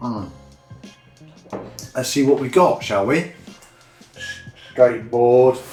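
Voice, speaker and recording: Music plays in the background as a man with a British accent speaks at a medium pitch with ordinary pitch variation. His pace is very slow, with long, frequent pauses. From United Kingdom. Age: 50s. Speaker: skateboarder. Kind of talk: casual talk to camera, unboxing. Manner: chatty, rambling.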